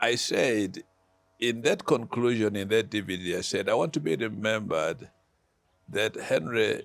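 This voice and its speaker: Music plays in the background as a man speaks. His medium-pitched voice has lively intonation. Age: 70s. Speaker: pastor. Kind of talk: casual chat.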